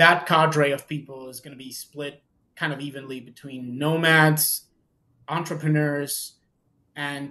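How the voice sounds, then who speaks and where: Slowly and with flat, monotone intonation, a man speaks. His fairly high voice has a bright, sharp tone. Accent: Spanish. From Mexico. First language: Spanish. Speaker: tax and legal advisor. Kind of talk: casual chat. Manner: halting.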